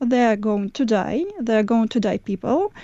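A woman with a Russian accent, fairly high in pitch, ordinary in pitch variation, at a fairly slow pace. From Moscow, Russia. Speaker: investigative journalist. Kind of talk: interview.

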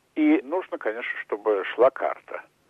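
This man talks at a very slow pace. Each word comes out very slowly. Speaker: businessman and screenwriter. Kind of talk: interview.

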